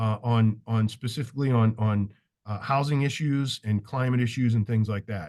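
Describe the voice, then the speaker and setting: The intonation stays fairly even. Behind the voice, the background is quiet. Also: man, medium pitch for a man. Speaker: leader of a professional architects' association. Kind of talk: virtual town hall presentation. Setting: video call. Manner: fast.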